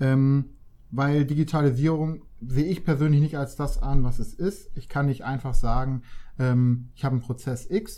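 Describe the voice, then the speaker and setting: Speaking at a moderate pace, a man with a medium-pitched voice has a dark, mellow tone that is somewhat breathy. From northern Germany, Hamburg. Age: 20s. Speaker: digitalization consultant. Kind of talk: interview.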